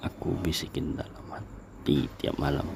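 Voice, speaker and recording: Against noticeable background noise, a man whispers very slowly. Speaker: ASMR creator. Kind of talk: ASMR romantic boyfriend roleplay. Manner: soft-spoken, comforting.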